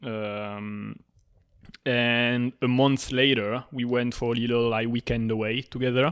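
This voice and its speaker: In a French accent, a man of medium pitch speaks at a fairly slow pace with monotone, flat intonation on a very clean recording with a silent background. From southern France. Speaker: podcast co-host appearing as guest. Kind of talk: casual interview chat. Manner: frequent hesitations and laughs.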